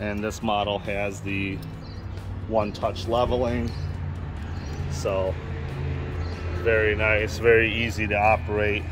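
Clear music sounds in the background as a man speaks. His pitch is fairly low and his intonation fairly even. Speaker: RV salesperson. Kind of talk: product tour commentary. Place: street. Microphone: phone near.

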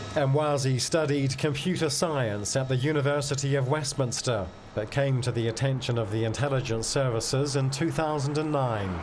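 An unremarkable speaking voice moves at a moderate pace with hardly any pauses. Loudness stays very even and intonation fairly even. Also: man, medium pitch for a man. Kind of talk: TV news report narration.

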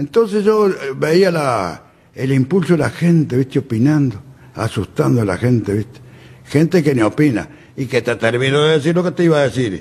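A somewhat breathy man speaks at a fairly high pitch. He keeps a moderate pace and his pitch swings very wide. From Uruguay, Durazno. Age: 80s+. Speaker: flood-zone resident. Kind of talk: interview. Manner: halting. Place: studio. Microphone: studio mic.

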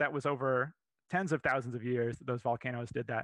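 A man with an American accent, dry sound with no echo, and a quiet background. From Florida. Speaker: paleontologist, museum curator. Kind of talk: lecture. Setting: live virtual presentation. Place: home room. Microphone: headset.

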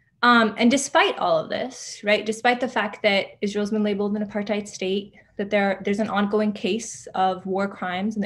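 Somewhat breathy speech moves at a moderate pace with fairly even intonation. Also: woman. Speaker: writer and organizer. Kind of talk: lecture.

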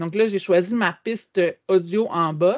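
A very slow pace with ordinary pitch variation over a quiet background. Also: woman. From Quebec. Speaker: educational technology trainer. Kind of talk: webinar tutorial. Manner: hesitant with frequent fillers. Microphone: video call.

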